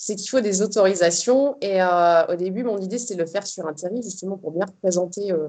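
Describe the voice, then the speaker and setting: With hardly any pauses, a woman talks in a dark, mellow tone at a medium pitch and with ordinary pitch variation. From northern France, Arras. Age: 30s. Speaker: ultra trail runner. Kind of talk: interview. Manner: hesitant, many fillers.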